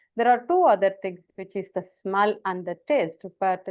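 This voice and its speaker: Here a woman speaks in a South Indian accent at medium pitch. Her intonation is lively and her pace moderate. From India, Tamil-speaking. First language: Tamil. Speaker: communication trainer. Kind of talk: online training session.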